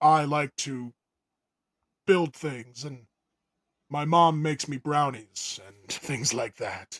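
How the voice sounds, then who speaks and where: A man speaks in a put-on character voice, fairly high for a man. His pace is very slow, with long, frequent pauses. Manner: exaggeratedly manly, alpha.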